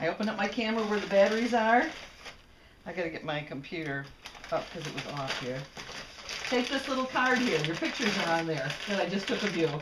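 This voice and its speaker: A woman speaks at a very fast pace, with very wide pitch swings and long, frequent pauses. Noticeable background noise runs underneath. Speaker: computer demonstrator. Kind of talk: casual talk. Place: home room.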